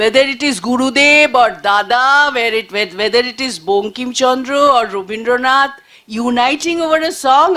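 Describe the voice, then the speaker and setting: A woman speaks with a Bengali accent at a high pitch. Her pace is moderate, with ordinary pitch variation. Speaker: panelist, journalist. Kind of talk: panel discussion talk. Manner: halting, many fillers.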